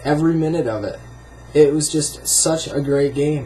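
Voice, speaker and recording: A man with an American accent speaks at a fairly slow pace and fairly high pitch. Noticeable background noise runs underneath. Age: 20s. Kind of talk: casual talk to camera.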